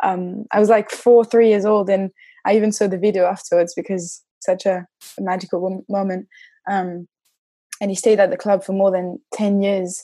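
Speaking in a French accent, a woman uses a dark, mellow tone at medium pitch, her delivery monotone and flat at a moderate pace. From France, Nantes. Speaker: football club community manager. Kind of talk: casual chat. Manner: halting.

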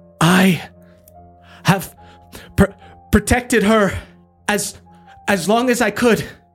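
A strained, put-on character voice at a fairly high pitch and very slow pace, with long, frequent pauses and faint music in the background. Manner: pained.

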